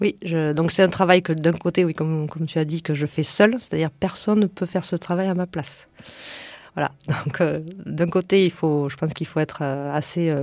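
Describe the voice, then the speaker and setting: A woman's fairly low voice with ordinary pitch variation at a moderate pace. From France, Lot countryside. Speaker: entrepreneur, former biomedical engineer. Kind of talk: radio interview. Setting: radio studio. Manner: halting.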